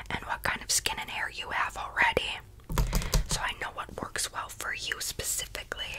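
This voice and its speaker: A soft-spoken woman at a moderate pace amid loud background noise. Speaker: roleplay pampering host. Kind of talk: ASMR roleplay chat. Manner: soft close ASMR murmur. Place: home room. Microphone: earbuds.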